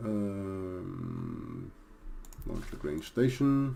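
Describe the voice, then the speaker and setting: A man speaks with a Danish accent. His tone is dark and mellow. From Denmark. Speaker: video game streamer. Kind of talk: gameplay commentary. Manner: hesitant, many fillers.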